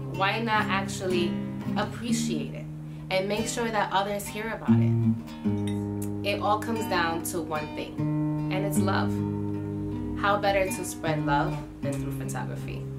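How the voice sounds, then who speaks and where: Over music in the background, a woman speaks with long, frequent pauses. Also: fairly slow pace. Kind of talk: casual vlog chat. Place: home room.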